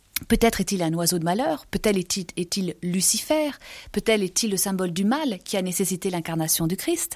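A woman speaks at a fairly quick pace, her pitch medium and its variation ordinary. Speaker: art book author. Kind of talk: art commentary interview. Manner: halting; animated.

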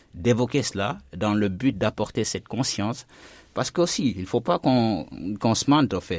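A man's plain, everyday voice, fairly low in pitch, with lively intonation at a fairly slow pace in a very clean recording against a silent background. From Guinea. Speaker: journalist and documentary maker. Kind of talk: radio panel discussion.

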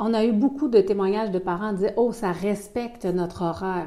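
The voice has a dark, mellow tone and ordinary pitch variation, with a Quebec accent. Audible room echo surrounds it. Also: woman. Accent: Québécois French. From Quebec City, Canada. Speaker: pastoral worker. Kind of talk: radio interview. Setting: office at a pastoral centre.

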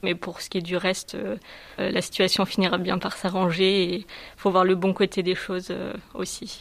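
A woman's fairly slow, monotone, flat delivery with long, frequent pauses. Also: medium pitch for a woman. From southern France. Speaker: student. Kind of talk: testimony.

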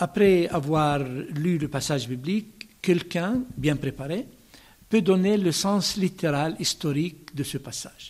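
A man speaks with an Arabic accent at a fairly high pitch. His pace is very slow. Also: ordinary pitch variation. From Palestine (Bethlehem). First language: Arabic (speaking French). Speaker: bishop. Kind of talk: radio interview.

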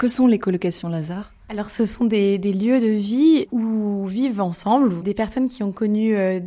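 A woman's medium-pitched voice, dark and mellow in tone, moves at a moderate pace with fairly even intonation. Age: 30s. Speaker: dietitian and author. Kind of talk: testimony interview. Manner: halting with fillers.

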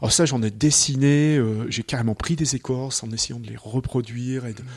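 A somewhat breathy man speaks at a fairly quick pace with fairly even intonation, on a very clean recording with a silent background. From Chartreuse, French Alps. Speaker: wood sculptor. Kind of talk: interview in his workshop. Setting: sculpture workshop.

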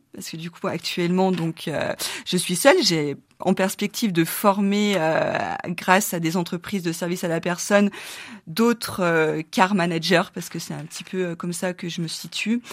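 A woman with an unremarkable speaking voice, medium in pitch, at a fairly slow pace with fairly even intonation and big swings in loudness. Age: 40s. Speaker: founder of a digital platform for family carers. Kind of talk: radio interview.

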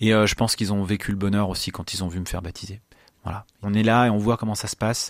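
A man talks at a very fast pace in a fairly low pitch, his intonation monotone and flat. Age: 30s. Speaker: truck driver. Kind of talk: testimony. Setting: studio. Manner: halting.

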